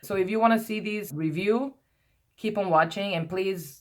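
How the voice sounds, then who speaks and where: A woman with a non-native accent speaks at a moderate pace with ordinary pitch variation. The recording is very clean, with a silent background. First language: not English. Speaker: beauty vlogger. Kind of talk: product review vlog. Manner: rambling, hesitant with many repetitions.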